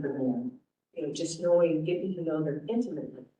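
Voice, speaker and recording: Audible room echo hangs around the voice. It's a woman talking. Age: 60s. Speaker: cannabis oversight committee member. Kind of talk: committee member self-introduction.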